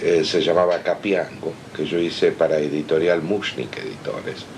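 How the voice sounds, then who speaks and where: With noticeable background noise behind him, a man talks at a very slow pace in a very deep, low pitch with ordinary pitch variation. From Argentina, Buenos Aires. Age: 60s. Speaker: comics artist. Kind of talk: interview.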